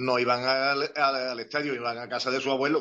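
A man at medium pitch, monotone with flat intonation, at a fairly quick pace. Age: 60s. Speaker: retired football club physiotherapist. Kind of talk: interview.

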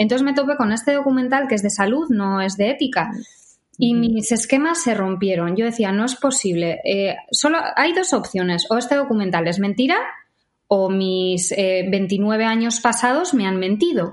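Using a plain, everyday voice, a woman speaks at a fairly high pitch and a moderate pace with lively intonation. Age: 30s. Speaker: vegan social media creator. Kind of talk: interview.

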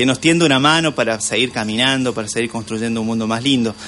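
Noticeable background noise sits under a man talking at a fairly quick pace, medium pitch and ordinary pitch variation. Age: 40s. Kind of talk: radio interview. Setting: radio studio. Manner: hesitant, many fillers.

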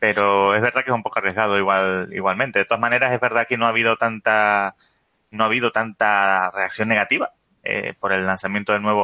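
In a Canarian accent, a man speaks at a fairly quick pace and a fairly low pitch, with monotone, flat intonation and very even loudness. The tone is bright and sharp, and the sound is dry and close with no echo. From Canary Islands, Spain. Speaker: podcast guest. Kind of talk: casual tech discussion.

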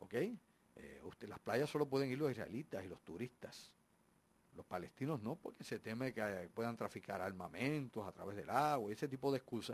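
Using an ordinary speaking voice, a man talks at a moderate pace and medium pitch with lively intonation. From Puerto Rico and US. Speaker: radio host. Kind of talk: live radio talk show. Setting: radio studio.

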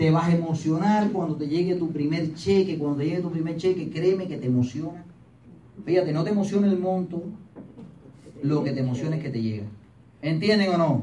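A man's high pitch with ordinary pitch variation, at a fairly quick pace with long, frequent pauses, in audible room echo. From Cuba, Pinar del Río. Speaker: motivational business speaker. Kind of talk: motivational talk to audience. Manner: animated.

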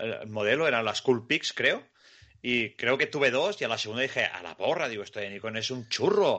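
With lively intonation, a man talks at a moderate pace and medium pitch. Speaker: podcast host. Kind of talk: casual podcast chat.

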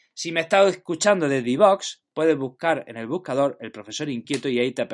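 Over a quiet background, a man talks fairly quickly with lively intonation and a fairly high pitch. He has a plain, everyday voice. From Spain, Jaén (Andalusia). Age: 30s. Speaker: teacher and podcaster. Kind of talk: podcast monologue.

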